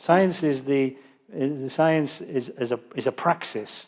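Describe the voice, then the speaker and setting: On a very clean recording with a silent background, a man with a northern English accent speaks at a fairly slow pace. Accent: British, northern English. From northern England. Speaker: Buddhist teacher. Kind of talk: Dharma teaching Q&A.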